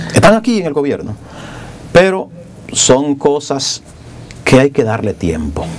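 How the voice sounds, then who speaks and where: Over faint background music, a man speaks at a fairly slow pace with very wide pitch swings. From Dominican Republic, rural. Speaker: politician, congressman; politician. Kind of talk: TV interview. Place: studio. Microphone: lapel.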